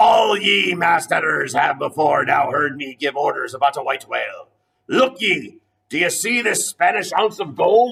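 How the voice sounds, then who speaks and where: A man puts on a character voice pitched high, talking at a moderate speed. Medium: read story. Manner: fierce, commanding, archaic sea speech.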